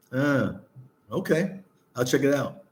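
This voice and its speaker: In an American accent, a man with a medium pitch speaks in a relaxed tone with audible room echo. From New Jersey, US. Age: 60s. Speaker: travel vlogger. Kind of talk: casual chat. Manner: relaxed, repetitive.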